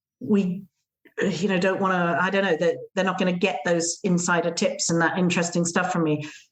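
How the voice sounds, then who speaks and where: The delivery comes at a moderate pace. It is spoken in an English accent. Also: woman. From England. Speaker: gîte owner and blogger. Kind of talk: podcast interview. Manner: hesitant, many fillers.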